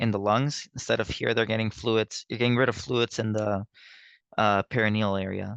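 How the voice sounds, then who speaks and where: A man at medium pitch and a fairly quick pace, with a dry, close sound and no echo. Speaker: nursing tutor. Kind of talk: lecture. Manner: halting.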